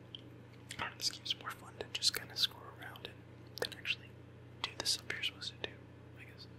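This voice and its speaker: Someone whispers at a very fast pace. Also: man. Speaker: ASMR gaming YouTuber. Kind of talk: casual gameplay commentary, ASMR style.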